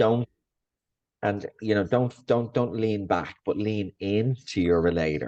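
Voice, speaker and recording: In an Irish accent, a man speaks at a very slow pace with a fairly low pitch and ordinary pitch variation. The sound is dry and close, with no echo. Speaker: coach. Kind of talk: casual podcast discussion.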